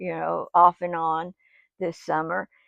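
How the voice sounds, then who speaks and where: A woman speaks here. Her pitch sits fairly low. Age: 70s. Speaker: vlogger. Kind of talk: casual chat. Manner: halting.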